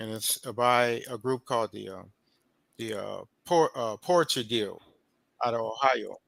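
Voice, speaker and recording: A man with a medium pitch speaks at a fairly slow pace, pausing long and often, with ordinary pitch variation and big swings in loudness, in a dry, close sound with no echo. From Oakland, California. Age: 50s. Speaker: poet and author. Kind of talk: interview. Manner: halting, many fillers and repeats.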